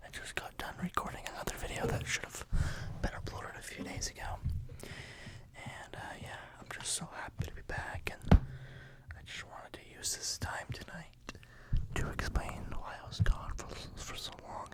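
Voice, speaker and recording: Someone whispers at a moderate pace with long, frequent pauses. Noticeable background noise runs underneath. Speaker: ASMR creator; parent of a baby. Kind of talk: whispered life-update ramble. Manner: whispered.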